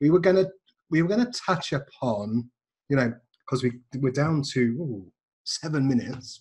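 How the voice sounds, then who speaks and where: A man's somewhat breathy, fairly high-pitched voice, with lively intonation, a moderate pace and long, frequent pauses. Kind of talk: casual chat.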